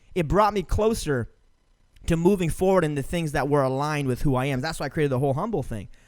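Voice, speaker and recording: A man talks loudly at a very fast pace with an animated tone. His pitch swings very widely. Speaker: podcast host. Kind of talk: casual chat.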